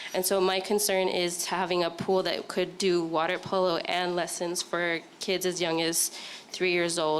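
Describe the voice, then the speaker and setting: A woman speaks at a moderate pace in monotone, flat intonation over noticeable background noise. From Hawaii (Laie, Oahu). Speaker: parent at community meeting. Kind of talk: public comment at community meeting. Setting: community meeting in school.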